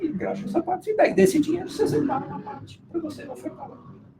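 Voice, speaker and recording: A man speaks at an extremely high pitch, at a fairly quick pace. His pitch swings very widely. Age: 60s. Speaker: business owner and mission board member. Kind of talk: live interview conversation.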